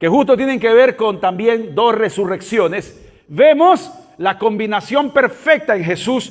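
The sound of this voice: The reading voice is unforced, and its intonation stays lively.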